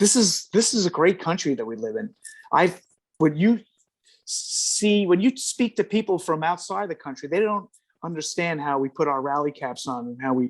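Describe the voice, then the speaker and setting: With a New York accent, the speaker goes at a moderate pace and makes very wide pitch swings. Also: man, high pitch for a man. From New York City. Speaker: retired firefighter. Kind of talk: interview. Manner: halting.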